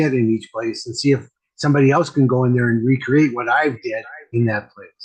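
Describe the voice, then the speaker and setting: A fairly quick, somewhat breathy man's voice with an American accent. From US Midwest, Wisconsin. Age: 60s. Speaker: medium and mentor. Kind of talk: casual chat. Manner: repetitive, halting.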